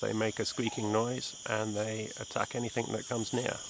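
At a moderate pace, a man speaks in a dry space with no echo, with noticeable background noise behind him. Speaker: presenter. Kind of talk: casual nature explanation to camera.

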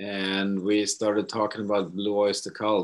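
A man with a Swedish accent, fairly low in pitch, at a fairly slow pace over a quiet background. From Sweden. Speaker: rock musician. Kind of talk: interview. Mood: relaxed, amused. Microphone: video call.

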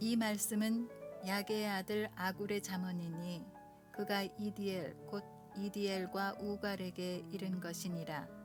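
A woman talks at a very slow pace while music plays in the background. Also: medium pitch for a woman, fairly even intonation. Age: 60s; old. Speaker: pianist, pastor's wife. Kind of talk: Bible reading over piano.

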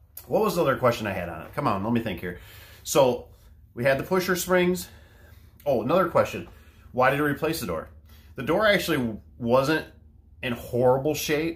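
With vocal fry and very wide pitch swings, a man talks at a fairly quick pace. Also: big swings in loudness. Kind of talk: casual vlog chat. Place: garage. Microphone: phone near.

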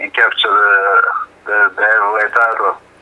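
There is noticeable background noise. Through it, a man's voice comes across. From Jamaica. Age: 30s. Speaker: professional heavyweight boxer. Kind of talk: interview.

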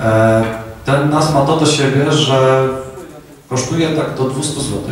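In a strong room echo with light background noise, a man talks at a very slow pace with ordinary pitch variation. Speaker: presenter and speaker at a tech meetup. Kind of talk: casual tech talk to an audience. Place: hall.

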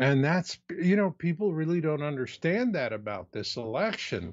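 This man speaks in an American accent. His pitch is fairly high and his intonation is lively. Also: quiet background. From US Southwest (Phoenix, Arizona); Arizona. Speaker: preparedness author; interview guest. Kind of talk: interview.

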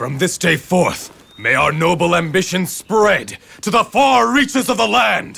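A man's put-on character voice, high and bright with a sharp edge, with vocal fry, ordinary pitch variation and a fairly slow pace

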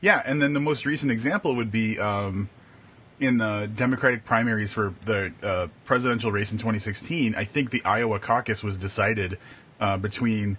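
A man with an American accent and a plain, everyday voice, fairly low in pitch, at a moderate pace with ordinary pitch variation. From Wisconsin. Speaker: podcast co-host. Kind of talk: casual chat. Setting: live video stream. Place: home room. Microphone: video call.

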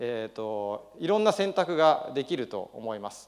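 A man talks at a fairly slow pace with very wide pitch swings over a quiet background. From Japan (Nagano), partly raised in Los Angeles; Japan. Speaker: business founder. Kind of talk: speech. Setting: stage with audience. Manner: hesitant with many fillers. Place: hall.

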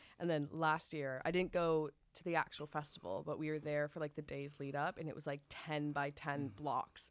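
With an American accent, a woman talks at a moderate pace in a very deep, low pitch, her intonation fairly even and hardly any pauses between words. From United States. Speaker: student podcast host. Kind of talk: casual chat. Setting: studio. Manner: giggly. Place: studio. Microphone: studio mic.

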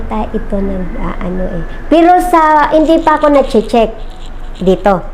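Over noticeable background noise and audible room echo, a woman speaks at a high pitch with very wide pitch swings. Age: 50s. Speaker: customer giving product testimonial. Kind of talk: testimony. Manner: halting, many fillers.

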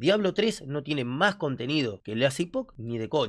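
Against a quiet background, a male speaker talks. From Argentina. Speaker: gaming youtuber. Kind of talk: reaction video commentary. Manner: animated. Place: home room. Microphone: studio mic.

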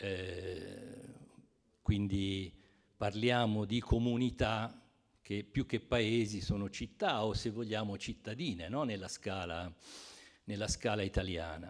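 A man speaks very slowly in a fairly low voice, with ordinary pitch variation. Long, frequent pauses break up his speech against a quiet background. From Rome. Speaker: publisher. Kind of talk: book presentation talk. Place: hall. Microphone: handheld.

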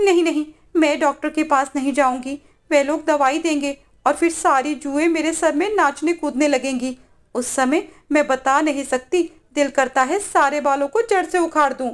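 Her voice is high-pitched, and this woman keeps her intonation fairly even. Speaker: storyteller narrating a story. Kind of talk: bedtime story narration. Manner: narrates steadily, shifting to dramatic character voices; expressive, with disgust and alarm in the dialogue.

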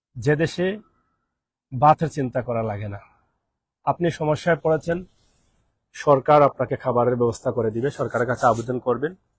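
A man speaks at medium pitch with ordinary pitch variation and a somewhat breathy quality. The sound is dry and close, with no echo. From Bangladesh. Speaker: expatriate vlogger. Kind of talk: live stream monologue.

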